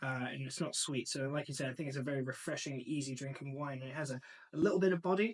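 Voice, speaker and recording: A man speaks with a slight English accent and ordinary pitch variation. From northern England, Macclesfield. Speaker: sommelier and wine importer. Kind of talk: casual interview chat.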